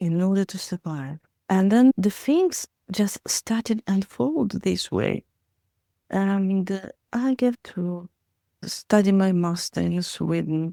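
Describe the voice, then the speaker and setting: At a very slow pace, a woman with a Russian accent speaks at medium pitch with ordinary variation, her dark, mellow tone coming through dry and close with no echo. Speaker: therapist and educator. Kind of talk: interview answer.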